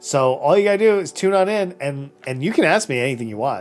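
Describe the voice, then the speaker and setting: Over background music, a man speaks at a fairly quick pace with very wide pitch swings. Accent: American. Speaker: streamer and podcast host. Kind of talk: casual live-stream chat reading viewer comments. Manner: fast.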